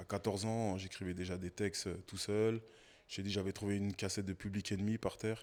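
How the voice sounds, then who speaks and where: Recorded very cleanly over a silent background, a man speaks at a fairly quick pace and fairly low pitch in a monotone, flat intonation. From Paris suburbs, Seine-Saint-Denis (93). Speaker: podcast guest, former basketball coach and rapper. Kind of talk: interview conversation.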